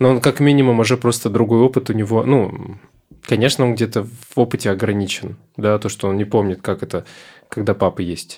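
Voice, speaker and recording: A plain, everyday voice from a man at medium pitch, with fairly even intonation and a fairly quick pace, in a very clean recording over a silent background. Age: 20s. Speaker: psychotherapist. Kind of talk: casual interview.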